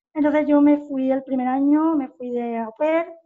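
Her voice has a dark, mellow tone and monotone, flat intonation. The woman speaks at a fairly slow pace. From Spain, Cádiz (Puerto Real). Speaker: youth basketball coach. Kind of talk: interview.

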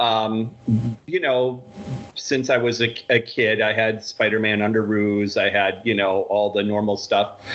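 Speaking at a very slow pace with an American accent, a man is heard over noticeable background noise. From Michigan, US. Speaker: card group admin. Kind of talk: casual chat.

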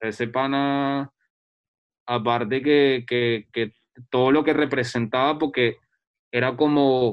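Speaking at a very slow pace with long, frequent pauses, a man uses a medium pitch and monotone, flat intonation. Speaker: photographer and researcher. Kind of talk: casual chat.

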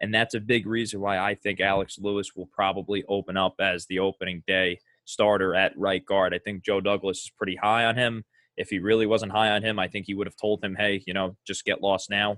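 The delivery is monotone and flat, moving at a fairly quick pace. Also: man, fairly low pitch for a man. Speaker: podcast host. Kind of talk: casual sports podcast chat.

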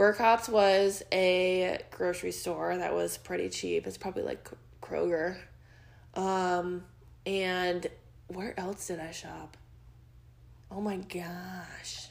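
In a put-on character voice with a Chicago accent, a female-sounding speaker uses a raspy, medium-pitched delivery at a very slow pace with long, frequent pauses. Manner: exaggerated accent.

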